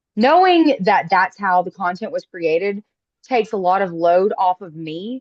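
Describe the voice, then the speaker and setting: This woman talks at a moderate pace in a Southern US accent. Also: medium pitch for a woman, ordinary pitch variation, big swings in loudness. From US South. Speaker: call participant, aspiring influencer. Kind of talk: casual chat.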